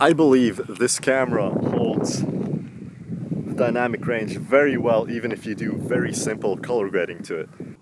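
A man talks at a moderate pace with lively intonation and hardly any pauses, in a dry sound with no echo over loud background noise. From Latvia. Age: 20s. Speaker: videographer; camera vlogger. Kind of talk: vlog gear review. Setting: outdoors in a swamp. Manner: casual, hesitant. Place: forest. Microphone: phone near.

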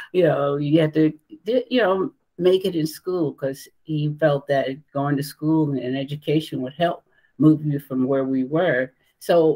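A woman with a very deep, low pitch and dark, mellow tone, ordinary pitch variation, fairly slow pace and a quiet background. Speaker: remote interview guest. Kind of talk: interview answer. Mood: warm, reminiscing. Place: home room.

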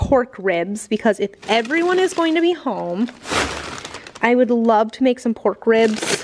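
The woman talks at a fairly slow pace while noticeable noise runs in the background. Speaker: homesteader vlogger. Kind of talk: casual vlog chat. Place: garage. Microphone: phone near.

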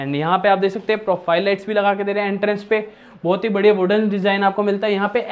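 At a very fast pace, a man speaks in a high pitch with monotone, flat intonation. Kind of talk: property tour presentation. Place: home room.

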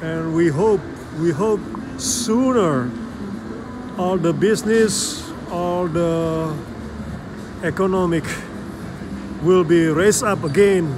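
Against noticeable background noise, a man with a high pitch talks at a very slow pace, with long, frequent pauses and ordinary pitch variation. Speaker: vlogger. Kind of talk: casual vlog chat. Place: hall. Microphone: phone near.

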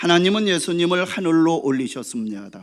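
A man talks fairly slowly, his pitch swinging very widely, on a very clean recording with a silent background. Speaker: pastor. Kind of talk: sermon. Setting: church.

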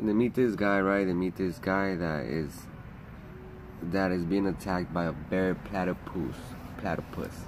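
A man's very deep, low voice with ordinary pitch variation, over noticeable background noise. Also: moderate pace. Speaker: vlogger. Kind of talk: casual vlog chat, episode summary. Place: garden. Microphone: phone near.

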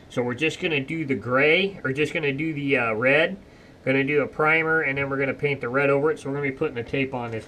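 Over light background noise, a man speaks at a very fast pace with ordinary pitch variation. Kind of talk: casual vlog chat. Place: workshop. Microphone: camera far.

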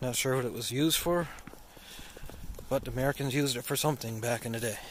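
At a fairly quick pace, a man talks at medium pitch with ordinary pitch variation. There is audible room echo.

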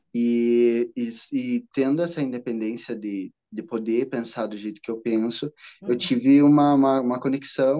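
Against a quiet background, a man speaks at a medium pitch with a dark, mellow tone. His pace is moderate and his intonation fairly even. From Brazil, interior of Paraná. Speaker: witchcraft content creator. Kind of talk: casual chat. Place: home room. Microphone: video call.

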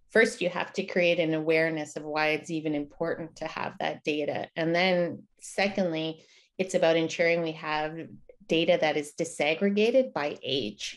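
Fairly low in pitch, a woman speaks at a moderate pace with ordinary pitch variation against a quiet background. It is a plain, everyday voice. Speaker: guest. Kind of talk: interview answer. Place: home room. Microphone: video call.

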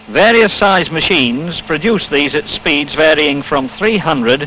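A man speaks at a very slow pace with lively intonation. Music plays in the background. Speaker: film narrator. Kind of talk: 1950 industrial film narration, scripted voiceover. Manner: formal, measured, precise, matter-of-fact; steady, unemotional, instructional pacing.

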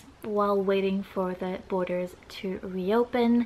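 The voice belongs to a woman. She keeps her intonation mostly flat. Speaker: vlogger. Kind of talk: casual vlog chat. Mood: earnest, somewhat serious. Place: home room.

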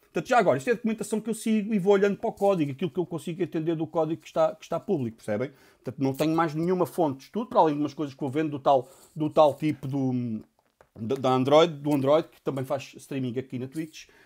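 The speech moves at a very fast pace against a quiet background. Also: man. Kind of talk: tutorial.

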